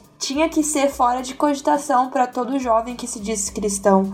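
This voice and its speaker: There is noticeable noise behind the speaker. A woman talks at a moderate speed. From Brazil, Campinas. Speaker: church worship singer. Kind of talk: casual chat.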